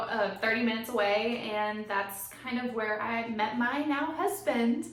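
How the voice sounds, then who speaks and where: A woman with a high voice talks with ordinary pitch variation. Audible room echo and noticeable background noise surround her. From Tennessee. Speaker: podcast co-host. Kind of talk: casual chat. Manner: animated.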